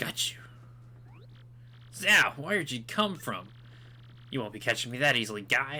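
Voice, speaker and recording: A man's put-on character voice at medium pitch, moderate pace, lively intonation and long, frequent pauses. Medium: solo performance. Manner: brash, cheeky.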